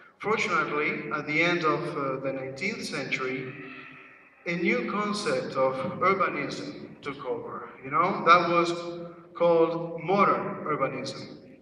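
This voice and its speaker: Noticeable background noise and audible room echo surround the voice. A man with a high pitch speaks at a fairly slow pace. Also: ordinary pitch variation. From Uruguay. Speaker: conference speaker. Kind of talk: presentation. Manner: hesitant, many fillers.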